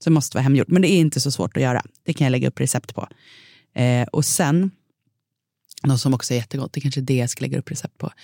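A woman's very deep, low voice, dark and mellow with vocal fry, very fast yet broken by long, frequent pauses, ordinary pitch variation, and a dry, close sound with no echo on a very clean recording with a silent background. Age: 30s. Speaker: food podcast host. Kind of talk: casual chat.

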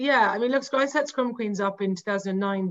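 Her pitch sits in the medium range for a woman. It varies in an ordinary way. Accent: Cork. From Ireland, Cork. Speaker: women's rugby website editor. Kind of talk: casual interview.

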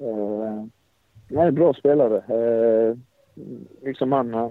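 Speaking in a flat, monotone way, a man talks at a medium pitch. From Sweden, Blekinge (Karlshamn). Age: 20s. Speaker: professional footballer. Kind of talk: interview. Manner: halting.

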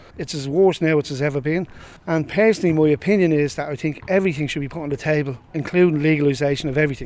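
A man speaks at a very fast pace in a Dublin accent. His pitch is fairly high. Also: ordinary pitch variation. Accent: Dublin Irish. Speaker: community resident, former anti-drugs activist. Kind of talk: recorded interview.

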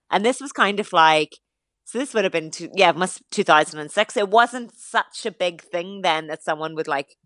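In an Irish accent, a woman talks at a fairly quick pace with ordinary pitch variation, in a dry, close sound with no echo and a quiet background. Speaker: fitness influencer. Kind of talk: radio interview.

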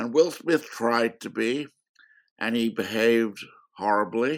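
His intonation is fairly even. The man speaks at a very slow pace. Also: very clean recording, silent background. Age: 80s+. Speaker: film critic and author. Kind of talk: interview.

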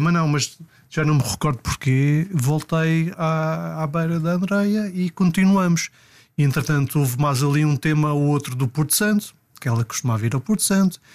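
A man with a plain, everyday voice, fairly high pitch, moderate pace and very even loudness. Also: very clean recording, silent background. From Portugal, Madeira. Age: 40s. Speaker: personal trainer. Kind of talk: casual interview, storytelling.

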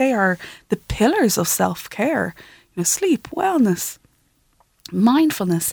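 Dry and close with no echo, a woman with an Irish accent speaks at a fairly slow pace. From Ireland, Kildare. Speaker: freediver and breathwork teacher. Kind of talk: interview. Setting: studio.

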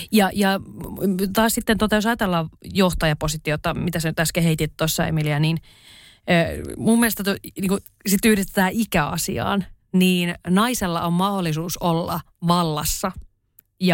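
Very clean recording, silent background. A woman with a fairly low voice and ordinary pitch variation speaks fairly slowly, with long, frequent pauses. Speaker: writer and podcast co-host. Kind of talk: casual chat.

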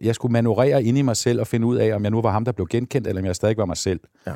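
Over a very clean, silent background, a man speaks at a very fast pace in a medium-pitched, dark, mellow voice with ordinary pitch variation, the sound dry and close with no echo. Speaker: podcast host. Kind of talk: casual interview conversation. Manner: talkative.

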